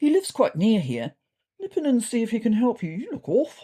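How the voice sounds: A put-on character voice with a dark, mellow tone and a slightly husky edge. It moves at a moderate pace through very wide pitch swings. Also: woman, fairly high pitch for a woman.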